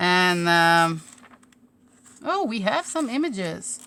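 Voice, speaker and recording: A woman with a Slovene accent, a bright, sharp tone, lively intonation and a very slow pace. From Slovenia. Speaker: crafter / craft YouTuber. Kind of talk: live stream crafting chat. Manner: casual, hesitant.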